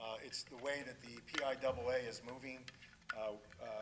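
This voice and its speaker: Over noticeable background noise, a man with a medium pitch speaks at a moderate pace in a flat, monotone way. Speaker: school superintendent. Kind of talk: meeting remarks. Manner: loud, projecting without mic; halting, many fillers.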